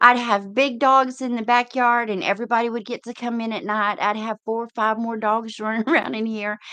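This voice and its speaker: Here is a woman with a Texan accent, speaking at a moderate pace. Her voice is high-pitched with a bright, sharp tone. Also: quiet background. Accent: Texas Southern. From East Texas. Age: 50s. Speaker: livestream host, truck driver. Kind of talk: casual livestream chat. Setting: live video stream.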